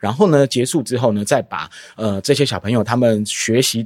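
A man talks at a moderate pace in a medium pitch, in an unremarkable speaking voice with lively intonation. The recording is very clean, with a silent background. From Taiwan. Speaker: drama educator, founder of youth theatre group. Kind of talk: casual interview.

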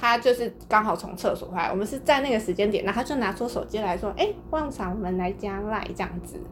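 Over noticeable background noise, a woman talks very fast in a fairly high voice with ordinary pitch variation and hardly any pauses. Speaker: podcast host. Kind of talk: casual chat.

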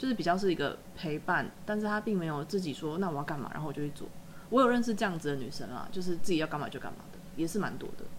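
Speaking at a very fast pace, this woman has a fairly low pitch. Her intonation is lively. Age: 30s. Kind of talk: casual chat.

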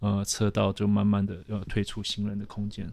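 On a very clean recording with a silent background, a man's fairly low voice has a dark, mellow tone. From Taiwan, then South Africa from age 12. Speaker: urban planner. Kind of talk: casual interview.

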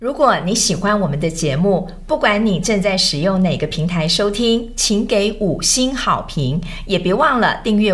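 A woman at a medium pitch and fairly slow pace, with very wide pitch swings, audible room echo and noticeable background noise. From Taiwan (Yonghe, New Taipei). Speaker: podcast host, nursing lecturer. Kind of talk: casual interview chat.

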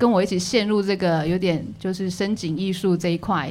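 A woman with a normal speaking voice, fairly low in pitch, at a fairly slow pace. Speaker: visual artist and community college teacher. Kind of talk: casual chat.

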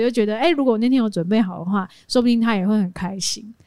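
At a very fast pace, a woman talks with a fairly high pitch and ordinary pitch variation. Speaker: podcast co-host and live streamer. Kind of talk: casual chat.

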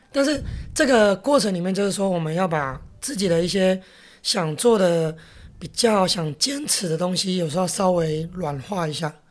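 In a very clean recording with a silent background, a woman speaks at a medium pitch and moderate pace with lively intonation. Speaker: restaurant chain executive. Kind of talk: interview. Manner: gruff, big-brother style.

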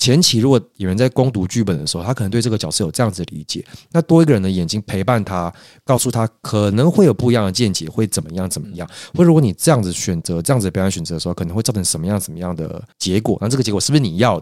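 With lively intonation and a fairly low pitch, a man talks at a very fast pace in a very clean recording with a silent background. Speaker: actor and acting coach. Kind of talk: casual chat.

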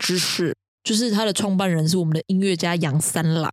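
Speaking very fast, a woman with a medium pitch and ordinary pitch variation is heard in a dry, close sound with no echo. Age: young. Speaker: podcast co-host. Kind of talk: casual chat.

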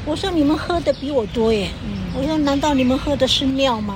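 Noticeable background noise and audible room echo surround a woman speaking at a fairly quick pace in a high-pitched voice. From Taiwan, Taoyuan Atayal village. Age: 60s. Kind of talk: interview. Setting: outdoors in a park.

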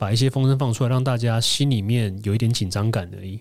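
A man's plain, everyday voice at medium pitch, fairly quick and fairly even in intonation, on a very clean recording with a silent background. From Taiwan. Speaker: former food-industry marketer, interviewee. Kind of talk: interview testimony.

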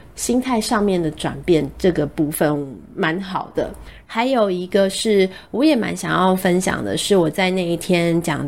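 A woman at medium pitch, fairly slow, with vocal fry and lively intonation. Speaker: radio host. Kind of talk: casual monologue. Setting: studio.

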